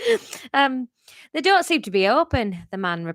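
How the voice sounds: Behind a natural reading voice, the background stays quiet.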